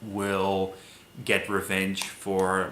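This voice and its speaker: In a room with audible echo, a man with a non-native accent speaks at a fairly low pitch in a bright, sharp tone. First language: not English. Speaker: movie reviewer. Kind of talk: casual film review monologue. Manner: halting, many fillers.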